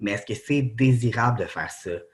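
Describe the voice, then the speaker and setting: The recording is very clean, the background silent. A man talks in a somewhat breathy voice. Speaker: doctoral researcher. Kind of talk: academic conference talk. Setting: presentation to students with slides. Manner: halting, many fillers.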